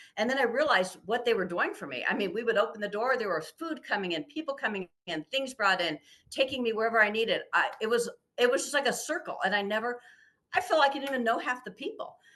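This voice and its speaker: A woman speaks very fast in a fairly high pitch, her voice bright and sharp in tone. Her pitch swings very widely. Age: 60s. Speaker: amputee advocate. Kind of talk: interview.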